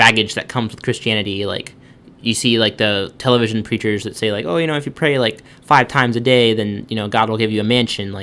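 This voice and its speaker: A man's bright, sharp voice with an American accent and fairly even intonation. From US, Baltimore, Maryland. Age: 20s. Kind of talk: personal testimony interview. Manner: hesitant, many fillers.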